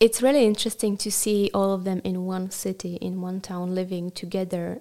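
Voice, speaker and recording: A woman with a dark, mellow tone speaks in a monotone, flat intonation on a very clean recording with a silent background. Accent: Czech. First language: Czech. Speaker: rabbinical student. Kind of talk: interview.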